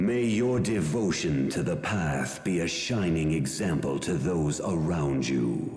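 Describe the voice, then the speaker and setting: In a put-on character voice, a man speaks very deep and low at a fairly slow pace, with a clear echo around him. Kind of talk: portentous fantasy game voice. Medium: video game. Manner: formal, solemn, archaic phrasing.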